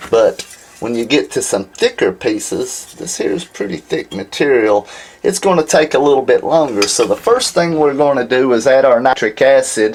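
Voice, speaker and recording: A man with a Southern US accent, against noticeable background noise. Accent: southern drawl. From Alabama, US South. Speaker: silver refining instructor. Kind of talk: tutorial. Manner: casual, conversational.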